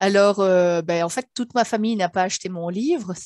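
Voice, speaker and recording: Over a quiet background, a woman talks at a moderate pace with ordinary pitch variation in a dry sound with no echo. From Belgium. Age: 40s. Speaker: author and sophrologist; interviewee. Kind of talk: interview. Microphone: headset.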